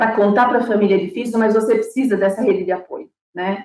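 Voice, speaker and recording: A woman talks at a medium pitch with ordinary pitch variation. It is a plain, everyday voice. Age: 50s. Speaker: breast cancer patient. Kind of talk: interview testimony.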